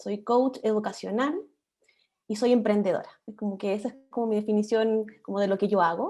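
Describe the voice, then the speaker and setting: With a dark, mellow tone and fairly even intonation, a woman speaks at a moderate pace in a fairly high pitch. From Chile, Viña del Mar. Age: 40s. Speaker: political candidate, history teacher. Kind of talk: panel discussion.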